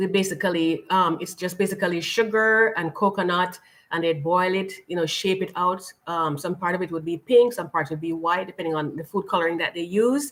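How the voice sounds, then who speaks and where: Speaking in a Jamaican accent, a woman moves at a fairly quick pace. Her fairly low voice has ordinary pitch variation. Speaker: lifestyle channel host. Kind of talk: live stream chat.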